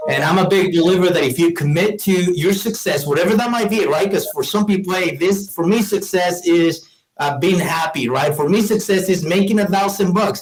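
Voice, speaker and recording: Over music in the background, a man with a Mexican accent and a high pitch speaks at a fairly quick pace with hardly any pauses, very even loudness and ordinary pitch variation. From Mexico, Morelia, Michoacan. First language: Spanish. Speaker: business owner. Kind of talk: interview.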